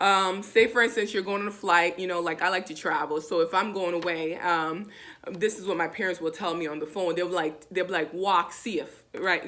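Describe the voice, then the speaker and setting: Speaking at a moderate pace, a woman with a Jamaican accent uses a medium pitch and fairly even intonation. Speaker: language teacher. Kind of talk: tutorial. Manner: casual, repetitive.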